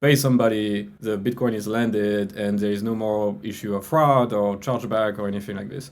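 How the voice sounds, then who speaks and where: A man speaks with a French accent at a moderate pace. His pitch sits fairly low, and his intonation stays fairly even. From France. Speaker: crypto business executive. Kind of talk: interview. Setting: podcast.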